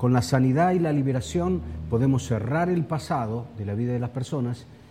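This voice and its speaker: Audible room echo surrounds a man speaking at medium pitch with lively intonation. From Argentina, Buenos Aires. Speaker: preacher. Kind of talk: sermon. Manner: halting.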